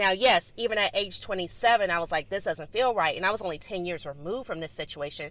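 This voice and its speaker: Talking at a very fast pace with hardly any pauses, a woman has a medium pitch and ordinary pitch variation. Her tone is animated, in a Southern US accent. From US South, Greensboro, North Carolina. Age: 30s. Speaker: podcast host. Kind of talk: solo podcast monologue.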